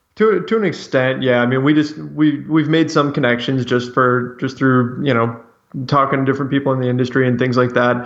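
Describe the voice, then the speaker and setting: At a fairly quick pace, a man speaks in an ordinary speaking voice with a medium pitch, very even loudness and ordinary pitch variation. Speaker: Lakers website writer. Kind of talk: sports interview. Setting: phone call.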